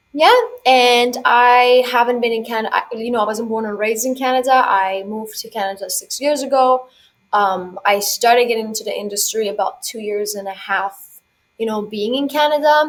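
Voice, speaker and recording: Here a woman with an unremarkable speaking voice talks at a moderate pace, fairly high in pitch. Her loudness swings widely. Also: ordinary pitch variation. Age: 20s. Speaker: financial coach. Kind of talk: podcast interview.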